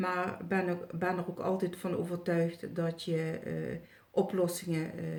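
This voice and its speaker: A woman's somewhat breathy, fairly low-pitched voice, fairly slow in pace and monotone, with flat intonation. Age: 60s. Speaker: retired healer and psychic. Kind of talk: testimonial video review. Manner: halting, many filler sounds.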